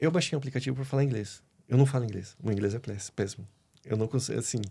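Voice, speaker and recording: A man's somewhat breathy, dark, mellow voice at a medium pitch and a very fast pace, in a very clean recording with a silent background. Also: ordinary pitch variation. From Brazil, Curitiba (Paraná). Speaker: pool worker interviewed on a podcast. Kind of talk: casual interview chat.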